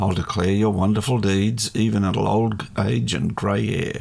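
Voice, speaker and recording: Against noticeable background noise, a man talks at a fairly slow pace in a fairly low pitch with ordinary pitch variation. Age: 70s. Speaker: Bible study co-host. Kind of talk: reading scripture aloud.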